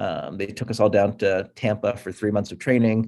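A man with an American accent has a normal speaking voice and a fairly low pitch. He talks at a moderate pace with ordinary pitch variation. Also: very clean recording, silent background. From US Northeast (Pittsburgh, Buffalo NY). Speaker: agency founder. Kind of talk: interview.

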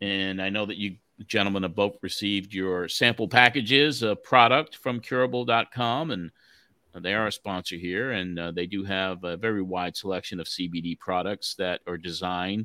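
In a very clean recording with a silent background, a man with a fairly low pitch and a bright, sharp tone talks at a moderate pace with ordinary pitch variation, the sound dry and close with no echo. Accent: American. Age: 60s. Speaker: wrestling podcast host. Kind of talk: casual chat.

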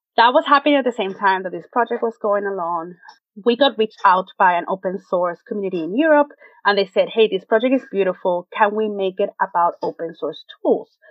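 This woman's intonation rises and falls with life. She keeps up a fairly quick pace. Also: medium pitch for a woman. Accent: Spanish. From Venezuela. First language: Spanish. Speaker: web designer. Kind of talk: interview.

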